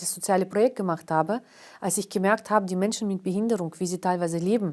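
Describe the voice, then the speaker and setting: A woman with a dark, mellow tone and a medium pitch talks at a very fast pace. Her pitch varies in an ordinary way, and the recording is very clean, with a silent background. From Karelia, northern Russia. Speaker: historian and cultural organizer. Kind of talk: interview. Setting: studio. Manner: hesitant, many fillers.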